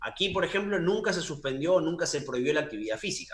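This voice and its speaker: The voice rises and falls in a lively way despite noticeable background noise. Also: man. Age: 30s. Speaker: fitness coach. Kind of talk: casual chat.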